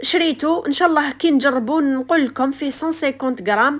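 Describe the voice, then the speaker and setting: In an Algerian accent, a woman speaks at a high pitch and a moderate pace with ordinary pitch variation. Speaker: homemaker vlogger. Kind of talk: casual vlog narration.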